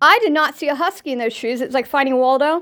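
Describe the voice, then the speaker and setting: With an animated tone, a woman speaks at a moderate pace in a high-pitched voice that is bright and sharp. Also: very clean recording, silent background. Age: 50s. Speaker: podcast host. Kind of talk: casual monologue.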